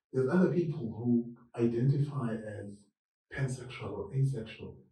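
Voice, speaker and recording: A man speaks at a fairly slow pace and a medium pitch. His tone is dark and mellow. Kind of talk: interview chat. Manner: loud.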